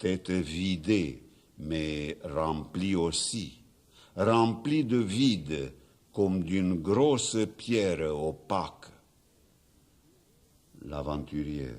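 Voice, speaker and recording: The speaker goes at a very slow pace with long, frequent pauses. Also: man, very deep, low pitch for a man, lively intonation. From Romania. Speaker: poet. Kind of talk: poetry reading. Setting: studio. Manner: stammering.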